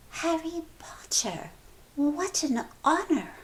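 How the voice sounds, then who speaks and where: Speaking very slowly, the put-on character voice sits at a high pitch. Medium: read story.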